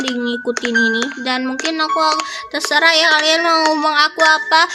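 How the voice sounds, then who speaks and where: Music plays in the background as a woman speaks in a raised, projected voice. Her pitch is high with ordinary variation, at a moderate pace. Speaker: gaming youtuber. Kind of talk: let's play commentary. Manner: animated.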